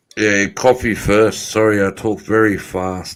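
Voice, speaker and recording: A man with an Australian accent speaks at a very slow pace with fairly even intonation. The recording is very clean, with a silent background. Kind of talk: casual, profane.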